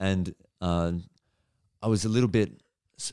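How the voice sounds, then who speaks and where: Here is a man with an Australian accent. His voice is very deep and low, with a dark, mellow tone. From Australia, Melbourne. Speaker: stand-up comedian. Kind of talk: casual chat. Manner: animated.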